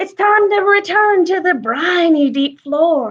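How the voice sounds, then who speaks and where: A woman's put-on character voice, pitched extremely high. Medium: read story. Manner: hearty, roaring.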